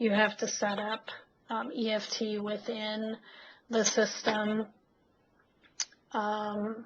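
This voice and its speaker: Somewhat breathy and fairly high-pitched, a woman speaks very slowly in a monotone, flat intonation, leaving long, frequent pauses. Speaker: software trainer. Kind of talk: webinar tutorial.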